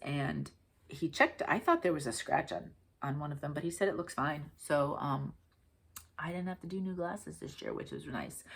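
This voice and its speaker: Here a woman speaks with a New England accent and lively intonation. Vocal fry runs through her voice. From Connecticut, US. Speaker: craft video host. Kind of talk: casual chat.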